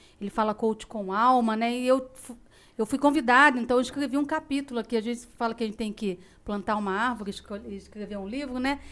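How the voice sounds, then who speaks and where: A woman's fairly high voice, fairly quick and fairly even in intonation. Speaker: podcast host and company executive. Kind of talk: casual chat. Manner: firm; dry.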